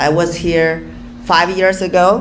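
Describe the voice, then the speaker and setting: Over noticeable background noise and audible room echo, a woman talks at a very slow pace with a medium pitch and fairly even intonation. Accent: Chinese. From Inner Mongolia, China. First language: Chinese. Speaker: real estate developer. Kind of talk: panel talk. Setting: stage with audience. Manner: halting.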